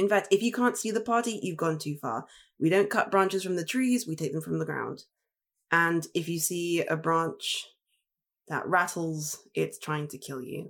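Lively intonation marks a woman's fairly low voice in a very clean recording with a silent background. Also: moderate pace. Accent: English. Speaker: tabletop game player. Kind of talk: tabletop roleplaying game session.

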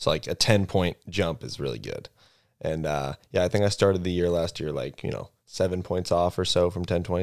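A man speaks at a fairly quick pace in a very deep, low voice with ordinary pitch variation. The recording is very clean, with a silent background. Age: 20s. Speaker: professional disc golfer. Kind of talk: casual chat.

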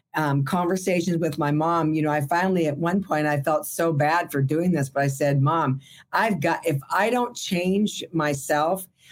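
A woman with an American accent speaks in an unremarkable speaking voice, fairly low in pitch, with ordinary pitch variation. Her pace is moderate and her loudness very even. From Burbank, California. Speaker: entertainment industry worker and former actress. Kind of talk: casual interview.

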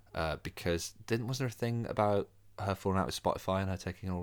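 A man at a very fast pace, fairly low in pitch, with fairly even intonation on a very clean recording with a silent background. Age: younger than co-host. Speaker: podcast co-host. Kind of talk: casual chat.

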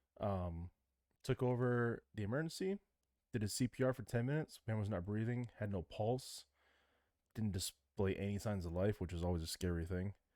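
In an American accent, a man speaks at a moderate pace with a fairly low pitch, ordinary pitch variation and a dark, mellow tone. The recording is very clean with a silent background and a dry, close sound with no echo. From Michigan. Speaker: podcast co-host. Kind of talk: casual chat; news reading.

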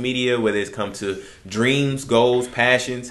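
A man with an American accent and an ordinary speaking voice, fairly low in pitch, at a fairly quick pace. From Texas (Houston area). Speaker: barber, podcast co-host. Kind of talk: casual chat. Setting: barbershop.

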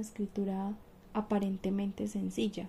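Her voice is somewhat breathy, with a medium pitch and a dark, mellow tone, as the woman speaks at a fairly slow pace. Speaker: university student. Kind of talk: oral presentation.

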